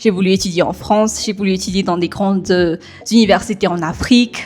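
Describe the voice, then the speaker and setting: There is noticeable background noise as a woman with a slight non-native accent speaks at medium pitch with monotone, flat intonation. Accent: slightly non-native French. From Madagascar. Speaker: software developer. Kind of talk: podcast interview. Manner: hesitant, many fillers.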